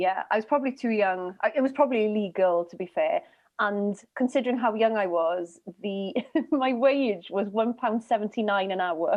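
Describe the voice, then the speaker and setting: With a Welsh accent, a woman speaks using ordinary pitch variation. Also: fairly high pitch for a woman, moderate pace. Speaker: comedian. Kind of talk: comedy panel show.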